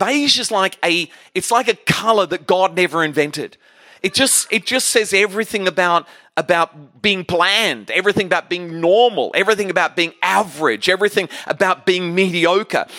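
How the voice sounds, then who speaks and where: A man's high, raised, projected voice with a bright, sharp, animated tone, at a moderate pace with ordinary pitch variation, in a very clean recording with a silent background and a dry, close sound with no echo. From Australia. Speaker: guest preacher. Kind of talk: sermon, preacher in full flow. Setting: church stage with audience. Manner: rambling, humorous.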